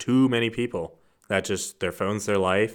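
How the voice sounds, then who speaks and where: A man with an unremarkable speaking voice talks at a moderate pace in a fairly low pitch, with ordinary pitch variation, on a very clean recording with a silent background. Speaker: guest, friend of host. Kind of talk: casual chat.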